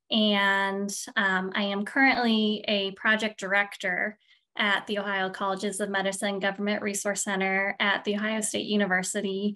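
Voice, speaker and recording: With a Midwestern accent, a woman speaks at a moderate pace in a bright, sharp tone, her pitch medium and her intonation monotone and flat, on a very clean recording with a silent background. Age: middle-aged. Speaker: physical therapist and project director. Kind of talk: interview.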